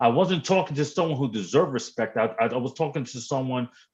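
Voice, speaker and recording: A man with a New York accent speaks at a medium pitch, somewhat breathy, with lively intonation. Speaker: livestream guest. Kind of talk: casual chat. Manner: animated.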